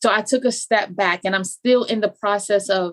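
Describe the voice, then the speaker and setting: This woman's fairly high voice shows ordinary pitch variation. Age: 40s. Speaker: life coach. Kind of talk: casual chat.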